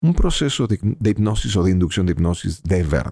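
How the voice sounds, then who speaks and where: Calm in tone yet lively in intonation, a man with a fairly low pitch and a dark, mellow tone talks at a moderate pace in a very clean recording with a silent background and a dry, close sound with no echo. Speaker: stage hypnotist. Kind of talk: interview.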